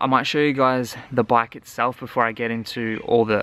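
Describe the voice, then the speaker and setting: In a dry sound with no echo, a man speaks with an Australian accent. His pace is moderate and his intonation fairly even. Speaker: travel vlogger. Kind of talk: gear tutorial. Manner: casual. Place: garden. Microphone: phone near.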